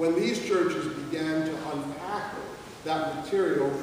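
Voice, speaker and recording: Strong room echo and noticeable background noise surround a man speaking at a fairly slow pace. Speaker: Orthodox priest. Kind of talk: sermon. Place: church. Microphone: camera far.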